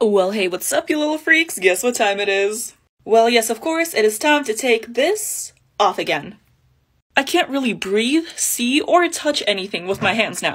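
Her voice is fairly high for a woman and swings very widely in pitch. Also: moderate pace, quiet background. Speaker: special effects makeup artist; makeup creator. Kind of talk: casual vlog. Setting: at home at night. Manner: quiet. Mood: playful, joking. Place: home room. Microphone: phone near.

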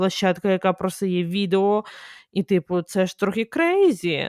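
Over a silent background in a very clean recording, a woman speaks at a very slow pace in a medium pitch. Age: 20s. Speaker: podcast host. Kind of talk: casual monologue. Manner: animated.

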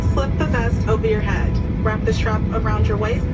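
A woman at a fairly quick pace over music in the background. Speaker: airline safety announcer. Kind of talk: safety announcement. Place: plane.

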